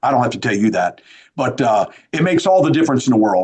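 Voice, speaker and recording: With an American accent, a man talks at a very fast pace using lively intonation. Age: 60s. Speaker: sheriff. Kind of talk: podcast interview. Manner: repetitive, stammering restarts.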